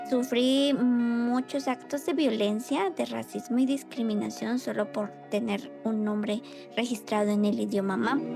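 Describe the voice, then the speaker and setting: A woman speaks at a fairly slow pace with very even loudness. Music plays in the background. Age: young. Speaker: cultural activist. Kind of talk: interview answer.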